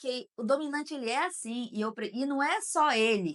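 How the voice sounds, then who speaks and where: This woman has a normal speaking voice with ordinary pitch variation. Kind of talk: casual chat.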